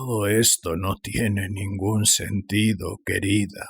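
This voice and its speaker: A man's put-on character voice, fairly low and shaky, in a monotone, flat delivery at a fairly slow pace. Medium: read story. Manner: hesitant, stammering.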